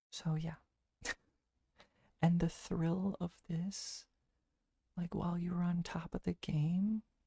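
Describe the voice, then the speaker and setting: In a dry, close recording with no echo, a soft-spoken man talks very slowly in a high, monotone, flat voice with a dark, mellow tone, a calm, relaxed manner, and long, frequent pauses. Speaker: ASMR streamer. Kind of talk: casual livestream chat, playing would-you-rather with viewers. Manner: soft-spoken, calm, relaxed.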